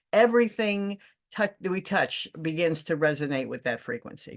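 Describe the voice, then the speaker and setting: Spoken at a moderate pace with lively intonation, the clip has a quiet background. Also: woman. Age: 60s. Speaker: spiritual coach. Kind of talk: personal testimony. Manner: halting, with fillers.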